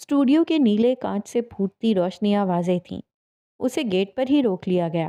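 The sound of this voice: With a quiet background, an unforced reading voice moves through lively intonation.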